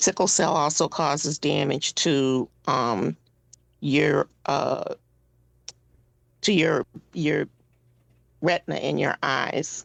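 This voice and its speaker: A woman's voice, dry and close with no echo. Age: 60s. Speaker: patient advocate, board member with sickle cell disease. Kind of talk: radio interview. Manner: halting, many fillers.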